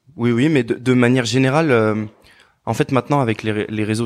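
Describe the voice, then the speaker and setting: A man with medium pitch talks in an unremarkable speaking voice with fairly even intonation. The recording is very clean, with a silent background. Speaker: former footballer turned DJ and producer. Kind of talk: interview. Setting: in person.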